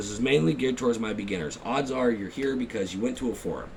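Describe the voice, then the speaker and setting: A man talks very fast, his pitch varying in an ordinary way, with noticeable noise behind him. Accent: American. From Texas. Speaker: YouTuber, gear reviewer. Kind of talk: casual vlog rant. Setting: at home at night.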